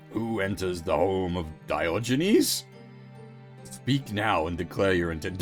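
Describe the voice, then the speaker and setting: A man performs a put-on character voice in a booming delivery. Clear music plays in the background. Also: fairly slow pace. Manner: commanding, demanding.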